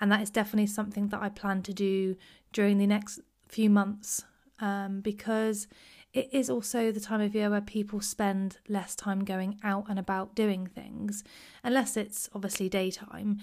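A woman's somewhat breathy voice moves at a moderate pace, its intonation monotone and flat. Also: medium pitch for a woman, very clean recording, silent background. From Cornwall, England. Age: 30s. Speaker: podcast host. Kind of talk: casual solo podcast chat. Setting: home recording. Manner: chatty, warm, rambling.

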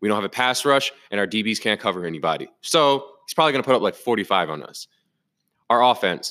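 A man's medium-pitched, bright, sharp voice at a very fast pace, with lively intonation and big swings in loudness, in a very clean recording with a silent background. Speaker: football podcast host. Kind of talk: angry post-game rant. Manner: furious, loud, profane, ranting; emphatic, repetitive, exasperated.

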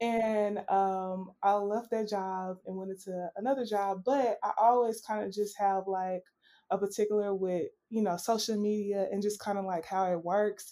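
A woman speaks in a Southern US accent at medium pitch and a moderate pace, her intonation monotone and flat. The recording is very clean, with a silent background. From US South, Arkansas. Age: 30s. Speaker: natural hair brand co-runner. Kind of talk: casual interview.

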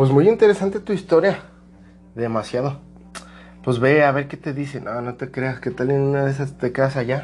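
Over music in the background, a man with a fairly high pitch talks at a moderate pace, leaving long, frequent pauses. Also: ordinary pitch variation. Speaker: podcast host. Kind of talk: casual chat.

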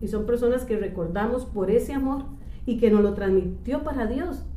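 Amid noticeable background noise and audible room echo, the speaker goes at a moderate pace with ordinary pitch variation. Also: woman. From Costa Rica, El Coyol (Alajuela). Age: 50s. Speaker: church office worker. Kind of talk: interview. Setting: church office.

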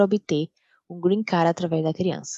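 A woman's fairly low voice with a Brazilian accent, dark and mellow in tone, at a moderate pace, in a dry, close sound with no echo. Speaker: paralegal. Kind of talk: scripted narration.

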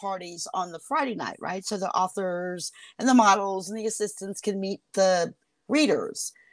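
A woman in an American accent, medium in pitch, at a moderate pace with ordinary pitch variation. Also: very clean recording, silent background. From Northern Virginia, near Washington D.C. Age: 50s. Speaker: romance author. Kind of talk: casual interview chat. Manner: hesitant, many fillers.

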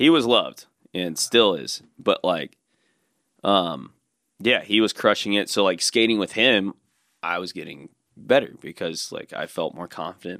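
A man's fairly low voice with an American accent, bright and sharp in tone, at a moderate pace with lively intonation and big swings in loudness, in a very clean, dry, close recording with a silent background and no echo. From US South, Alabama (Birmingham area). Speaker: skateboarder. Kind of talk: casual chat.

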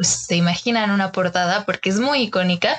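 A woman with a Mexican accent, medium in pitch, with ordinary pitch variation. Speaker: design podcast host. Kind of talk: casual chat.

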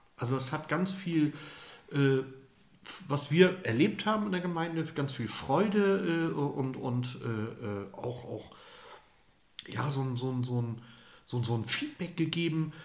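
A man with a fairly high pitch speaks at a very slow pace with lively intonation and long, frequent pauses. Room echo is audible. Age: 50s. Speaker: lay priest. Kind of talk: interview.

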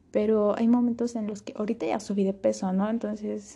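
A woman speaks at a medium pitch in a dark, mellow tone. Her intonation is monotone and flat against a quiet background. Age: young. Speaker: podcast host. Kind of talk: personal monologue.

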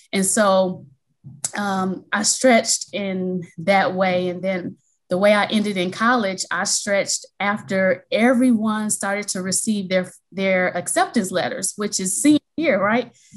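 Somewhat breathy, this woman's voice rests at a medium pitch. She speaks with an American accent. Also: fairly even intonation. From US Midwest, Milwaukee, Wisconsin. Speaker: college financial aid administrator and education consultant. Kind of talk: interview.

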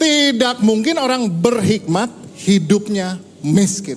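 An animated man talks at a high pitch with lively intonation. Audible room echo and noticeable background noise are present. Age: 50s. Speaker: pastor. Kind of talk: sermon.

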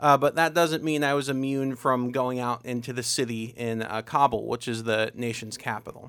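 Speaking at a moderate pace with hardly any pauses, a man with an Ohio accent keeps a medium pitch and fairly even intonation. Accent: Midwestern American (Ohio). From Ohio, Tuscarawas County. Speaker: community volunteer organizer and military veteran. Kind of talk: interview conversation. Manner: hesitant, frequent 'uh' fillers.

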